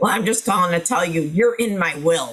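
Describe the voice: Putting on a gruff character voice, a man speaks at a fairly quick pace and a high pitch.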